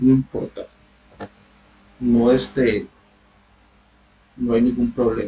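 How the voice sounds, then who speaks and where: A man talks at a very slow pace, stopping often for long pauses. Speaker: university tutor. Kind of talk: online lecture.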